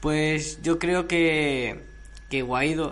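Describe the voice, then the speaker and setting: A man with a fairly high pitch, fairly even intonation and a very slow pace, in audible room echo. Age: young. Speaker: sound technician. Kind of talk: casual chat. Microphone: no microphone, hard to hear.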